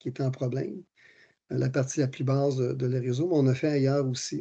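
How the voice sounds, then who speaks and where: Somewhat breathy, a man speaks at a moderate pace and a medium pitch with fairly even intonation. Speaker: municipal engineer presenting technical work. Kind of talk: technical presentation. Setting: virtual meeting. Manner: hesitant, many fillers.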